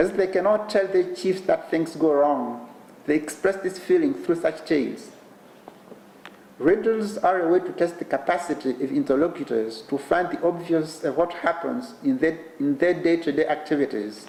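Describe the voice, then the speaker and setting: Through noticeable background noise, the voice moves at a moderate pace with lively intonation. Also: man, high pitch for a man. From Eastern DR Congo. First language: Kinande. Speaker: professor giving keynote. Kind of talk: lecture. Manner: formal.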